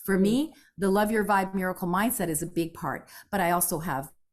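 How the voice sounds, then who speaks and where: An animated woman's voice on a very clean recording with a silent background. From Canada, born in Italy. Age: 60s. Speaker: jazz singer and mindset coach. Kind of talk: interview conversation.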